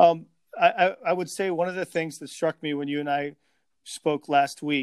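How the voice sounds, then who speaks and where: In a very clean recording with a silent background and a dry, close sound with no echo, a man with an American accent and a normal speaking voice talks at a moderate pace with fairly even intonation. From Chicago area. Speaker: podcast host. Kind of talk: interview.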